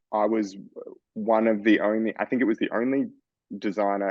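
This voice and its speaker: With an Australian accent, this man talks at a moderate speed. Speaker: fashion designer. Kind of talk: interview.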